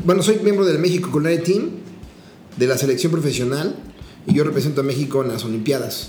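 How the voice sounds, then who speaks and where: A man with a Mexican accent, a fairly high pitch, lively intonation and an animated tone, very fast pace yet long, frequent pauses, with audible room echo and noticeable background noise. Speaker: chef. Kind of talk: casual chat.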